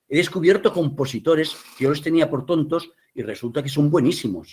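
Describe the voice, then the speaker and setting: The voice is somewhat breathy and moves at a fairly quick pace. Its pitch variation is ordinary. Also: man, fairly high pitch for a man. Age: 60s. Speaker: theatre director and playwright. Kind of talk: interview. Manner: animated.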